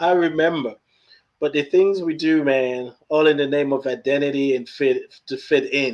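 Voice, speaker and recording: At a moderate pace, a man with an American accent speaks in a fairly high pitch with fairly even intonation. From Nigeria. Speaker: podcast host. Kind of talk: casual chat. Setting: livestream.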